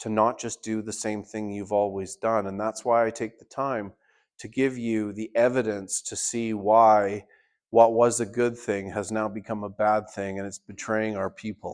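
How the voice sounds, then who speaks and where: A man talks at a moderate pace with a Canadian accent, his pitch fairly low. His intonation stays monotone and flat against a quiet background. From Canada. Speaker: party leader and political candidate. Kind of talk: town hall speech. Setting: town hall meeting with audience.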